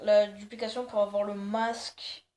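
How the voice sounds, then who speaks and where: Very slow speech from a woman, medium in pitch. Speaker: gaming youtuber. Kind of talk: game tutorial. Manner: hesitant, many fillers.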